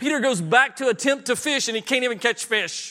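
Delivered at a very fast pace, the voice is raised and projected. It carries a Southern US accent. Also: man. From US South. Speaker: preacher. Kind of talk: sermon. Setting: church.

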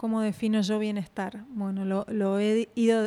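In a very clean recording with a silent background and a dry, close sound with no echo, a woman with a dark, mellow tone and medium pitch speaks fairly slowly in a monotone, flat intonation. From Argentina. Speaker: radiation oncologist and health coach. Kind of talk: interview.

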